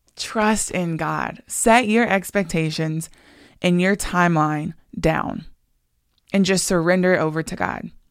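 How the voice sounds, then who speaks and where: A woman speaks fairly slowly in a fairly low pitch, with fairly even intonation and long, frequent pauses. The recording is very clean, with a silent background. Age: 20s. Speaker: faith podcast host. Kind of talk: devotional monologue.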